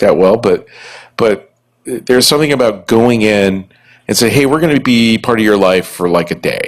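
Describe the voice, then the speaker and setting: Fairly quick delivery from a man, his pitch fairly low and its variation ordinary. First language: Italian. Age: 60s. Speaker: podcast host and music venue owner. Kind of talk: live podcast recording before an audience. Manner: rambling with many false starts and repetitions.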